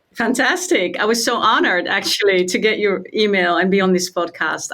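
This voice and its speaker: A woman speaks at a moderate pace and medium pitch, with ordinary pitch variation. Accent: Dutch. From Netherlands. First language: Dutch. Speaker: meditation and trauma trainer. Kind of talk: interview.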